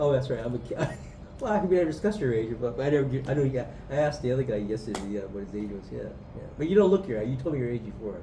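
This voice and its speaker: Amid noticeable background noise and audible room echo, a man with a medium pitch speaks at a very fast pace with very wide pitch swings. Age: 60s. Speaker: mayoral candidate. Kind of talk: casual interview chat. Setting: outdoors in a park.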